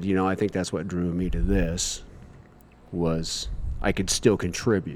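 A man with a Midwestern American accent, a very deep, low pitch, ordinary pitch variation and long, frequent pauses. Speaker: firefighter. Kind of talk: casual interview.

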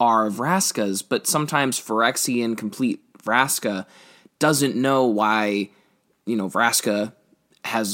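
A passage is read aloud naturally, pitch varying in an ordinary way. Quiet surrounds it.

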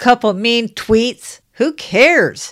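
A woman speaks in a very clean recording with a silent background. The sound is dry and close, with no echo. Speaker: political talk radio host. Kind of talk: angry political rant, fiery and indignant about Democrats and the government. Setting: radio studio broadcast. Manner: heated, emphatic, urgent, alarmist; fervent, preachy, warning tone.

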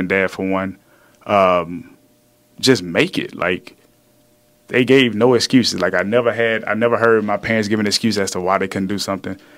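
A man speaks with a Louisiana accent. His pitch is fairly low and his intonation fairly even. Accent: Southern US (Louisiana). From Louisiana, small town. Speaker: fitness trainer, former pro football player. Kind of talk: casual chat.

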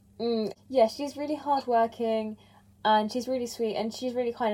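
A plain, everyday voice speaks at a moderate pace. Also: woman. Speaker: podcast host. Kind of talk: interview podcast. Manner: casual.

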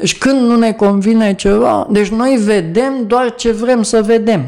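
Speaking at a fairly slow pace, the man has a high pitch. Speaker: activist. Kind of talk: casual chat.

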